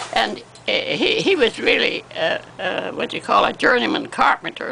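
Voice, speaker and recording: A woman talks at a moderate pace. Noticeable noise sits in the background. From Canada. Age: 80s+. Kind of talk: interview answer.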